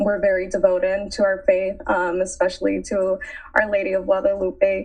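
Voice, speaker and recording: A woman with an American accent uses an ordinary speaking voice, medium in pitch with ordinary pitch variation, at a moderate pace. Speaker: college student. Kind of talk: casual chat.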